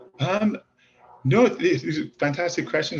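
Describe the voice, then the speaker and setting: A man with a Welsh accent at a fairly quick pace. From Wales. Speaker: author and screenwriter. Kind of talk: interview. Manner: halting.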